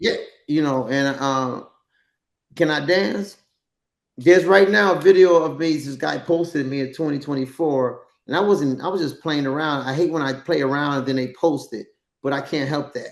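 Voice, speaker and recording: A man's fairly high-pitched voice in a New York accent, at a moderate pace with ordinary pitch variation. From New York, the Bronx. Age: 60s. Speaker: dancer and actor. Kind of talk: casual chat.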